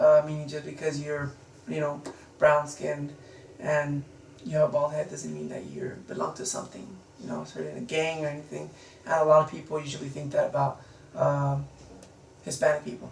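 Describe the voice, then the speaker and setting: A man talking at a fairly quick pace, with big swings in loudness, long, frequent pauses and noticeable background noise. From United States, Mexican-American family. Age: 20s. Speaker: interviewee. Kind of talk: interview. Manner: halting, many fillers.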